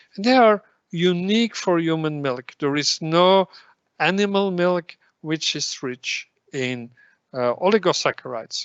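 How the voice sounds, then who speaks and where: With lively intonation and a high pitch, a man talks at a fairly slow pace. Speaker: professor of pediatrics, lecturer. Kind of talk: lecture.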